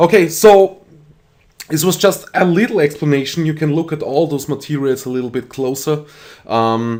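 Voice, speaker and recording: A man speaks with an Austrian accent. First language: German. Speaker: 3D rendering tutorial creator. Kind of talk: tutorial. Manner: halting, many fillers.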